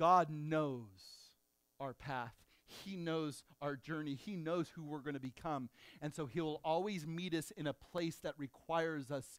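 A man talks at a fairly slow pace. His pitch is fairly high, with ordinary pitch variation. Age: 50s. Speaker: pastor. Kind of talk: sermon. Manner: animated.

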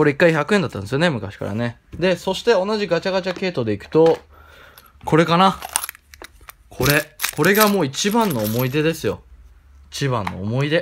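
A man's fairly high-pitched voice at a moderate pace, with very wide pitch swings and long, frequent pauses. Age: 20s. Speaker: YouTuber. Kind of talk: casual vlog commentary. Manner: animated.

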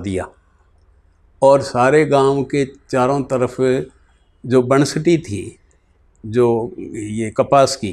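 This man talks at a very slow pace with ordinary pitch variation. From Bahawalnagar region, Punjab, Pakistan; raised in Haryana; Punjab, Pakistan. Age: 70s. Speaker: retired politician, partition survivor. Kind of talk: oral history interview. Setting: in person in Sirsa. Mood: earnest, reflective storytelling. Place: home room. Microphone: lapel.

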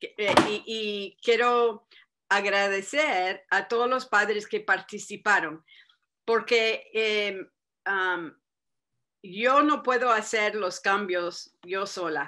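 Against a quiet background, a woman speaks very slowly in a bright, sharp tone with ordinary pitch variation. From Arizona. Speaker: state senator. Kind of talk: speech to parents. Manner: halting, many repetitions. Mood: warm, earnest. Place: home room. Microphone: webcam.

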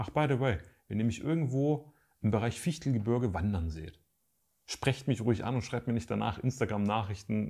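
A man's fairly low voice with vocal fry and lively intonation, fairly quick pace, quiet background. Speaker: YouTuber and photographer; photography youtuber. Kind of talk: casual vlog update to viewers. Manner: casual, hesitant with fillers. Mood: calm, reflective. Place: home room.

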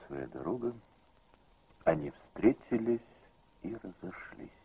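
A man speaks at a fairly slow pace in a solemn tone, his voice dark and mellow with vocal fry. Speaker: narrator. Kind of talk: scripted narration. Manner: formal, measured, solemn.

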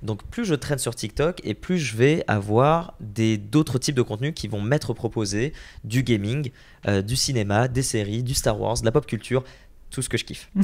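With ordinary pitch variation, a man delivers his words at a medium tempo. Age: 20s. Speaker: entrepreneur and content creator; content creator. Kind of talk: interview. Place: home room. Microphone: handheld.

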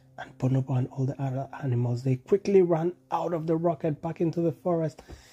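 This man's voice sits at a fairly high pitch, with a husky, rough edge and a dark, mellow tone. He talks at a moderate pace with ordinary pitch variation.

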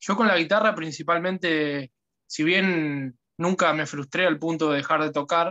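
Against a quiet background, a man talks fairly slowly in a bright, sharp tone, his fairly high pitch held in fairly even intonation. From Argentina, Buenos Aires province. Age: 20s. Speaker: guitar student. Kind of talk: testimony. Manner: halting, repeats words. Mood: grateful, relaxed. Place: home room. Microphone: phone near.

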